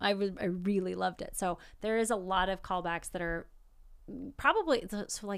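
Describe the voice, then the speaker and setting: The speaker has an unremarkable speaking voice and a fairly quick pace, with ordinary pitch variation. The recording is very clean, the background silent. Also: woman. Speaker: podcast co-host. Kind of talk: casual chat, movie review.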